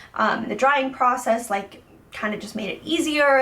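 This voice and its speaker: A woman's fairly high voice with lively intonation over noticeable background noise. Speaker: beauty vlogger. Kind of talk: product review. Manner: casual, many fillers.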